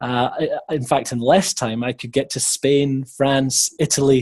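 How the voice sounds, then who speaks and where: Against a quiet background, a man with a Scottish accent speaks at a fairly high pitch and a moderate pace, sounding somewhat breathy. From Scotland. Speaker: webinar presenter on teacher recruitment. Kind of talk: webinar presentation. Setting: online webinar.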